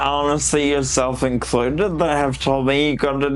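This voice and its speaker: With audible room echo, a man speaks at a fairly slow pace in a fairly high voice. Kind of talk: casual interview chat. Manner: animated.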